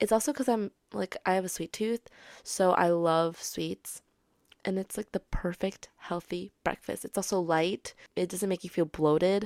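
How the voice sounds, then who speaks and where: On a very clean recording with a silent background, a woman with a medium pitch speaks at a moderate pace. Her tone is animated, with ordinary pitch variation. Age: 20s. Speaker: podcast host and actor. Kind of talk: casual solo monologue.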